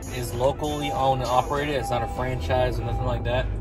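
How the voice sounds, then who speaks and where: A man speaks at a moderate pace. Music plays in the background, and the sound is dry with no echo. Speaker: food vlogger. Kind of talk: casual food review chat. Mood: relaxed, content. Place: car. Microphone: phone near.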